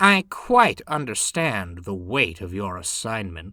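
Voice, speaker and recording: A put-on character voice delivers the words at a fairly slow pace. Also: man, medium pitch for a man. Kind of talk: overly formal, posh. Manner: sweet, polite, falsely nice.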